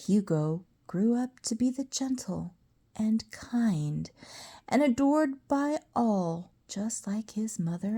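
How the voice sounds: In a natural reading voice, the intonation is lively.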